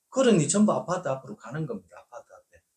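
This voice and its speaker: A man with a Gyeongsang accent. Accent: Korean regional dialect (Gyeongsang). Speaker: real estate agent. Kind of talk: informal video lecture. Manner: hesitant with filler sounds.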